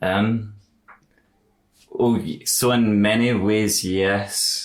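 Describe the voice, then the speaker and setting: The speaker talks at a very slow pace with a slight Glaswegian accent. The intonation stays monotone and flat. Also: man, fairly low pitch for a man. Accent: milder Glaswegian than family's broad accents. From Scotland, Glasgow. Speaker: podcast host. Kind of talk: casual interview conversation.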